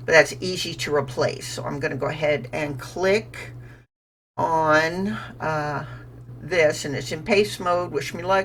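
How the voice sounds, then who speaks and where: A woman's very deep, low voice with vocal fry, big swings in loudness, ordinary pitch variation and a fairly slow pace. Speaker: gaming YouTuber. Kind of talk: gameplay commentary. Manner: casual.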